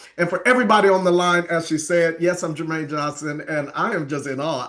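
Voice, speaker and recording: Over noticeable background noise, a man talks very fast with an animated tone and a fairly high pitch. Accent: American. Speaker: network marketing leader, former youth pastor. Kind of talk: sales pitch.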